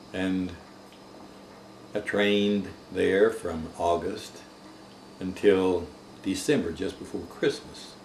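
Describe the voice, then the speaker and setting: A man's very deep, low voice with an American accent, very slow and broken by long, frequent pauses, fairly even in intonation, amid noticeable background noise and audible room echo. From US South. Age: 70s. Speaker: war veteran. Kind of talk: oral history interview.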